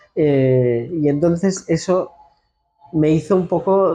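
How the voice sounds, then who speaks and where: A man speaks with a Castilian accent. His pitch sits fairly high. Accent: central Spanish (Castilian). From Spain, La Mancha (Ciudad Real). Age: 40s. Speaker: architect, institute director. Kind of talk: interview. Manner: halting, with frequent repetitions.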